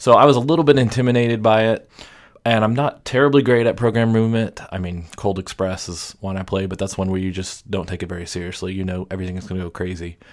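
In a very clean recording with a silent background, a man talks very fast in a fairly low voice. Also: ordinary pitch variation. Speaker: podcast co-host. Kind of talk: casual chat.

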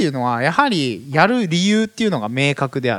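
A man's fairly high voice moves along at a fairly quick pace. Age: 30s. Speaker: business community leader, entrepreneur. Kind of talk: solo podcast talk. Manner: many fillers, hesitant.

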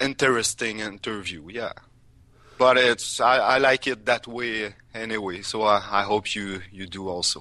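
With a Quebec accent, a man speaks at a medium pitch in a bright, sharp tone. His pace is fairly slow, with ordinary pitch variation. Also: quiet background. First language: French. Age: 30s. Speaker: music podcaster and industrial worker. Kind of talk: interview. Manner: halting.

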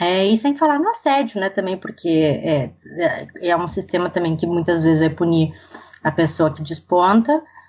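With an unremarkable speaking voice, a woman talks at a fairly low pitch and a moderate pace, her intonation lively. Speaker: professor of international development. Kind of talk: interview.

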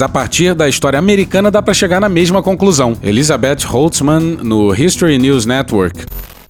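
With lively intonation and a fairly high pitch, a man talks at a moderate pace amid noticeable background noise. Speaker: podcast host. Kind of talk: satirical news commentary.

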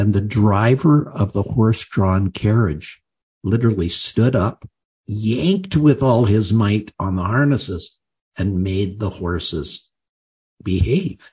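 A man speaks at a very slow pace in a fairly low pitch, his voice somewhat breathy and his pitch variation ordinary. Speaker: podcast host. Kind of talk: interview.

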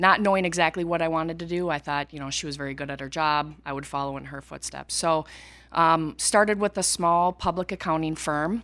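A woman with an ordinary speaking voice and an American accent, fairly low in pitch with ordinary pitch variation, at a moderate pace on a very clean recording with a silent background. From rural Minnesota, US. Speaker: accountant specializing in manufacturing. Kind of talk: interview.

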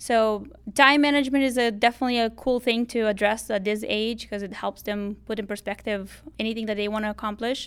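On a very clean recording with a silent background, a woman with a Romanian accent speaks fairly quickly in a fairly high voice with fairly even intonation. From Moldova. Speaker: high school teacher. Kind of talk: interview.

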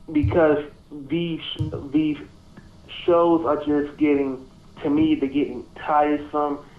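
Over noticeable background noise, a man with a fairly high pitch speaks very slowly in a monotone, flat way, leaving long, frequent pauses. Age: young. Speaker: podcast guest, music fan. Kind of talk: casual chat.

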